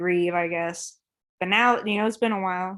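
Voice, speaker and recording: A woman with an American accent speaks at medium pitch and a fairly quick pace. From Oklahoma, Claremore. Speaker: visual artist. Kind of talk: artist talk over video call. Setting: video call. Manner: fast.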